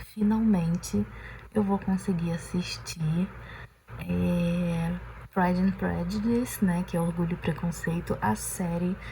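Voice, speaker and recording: A woman speaks at a very slow pace with long, frequent pauses. Her loudness stays very even. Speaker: vlogger. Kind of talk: casual vlog talk to camera. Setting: on the balcony at home. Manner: soft-spoken, talking quietly at night.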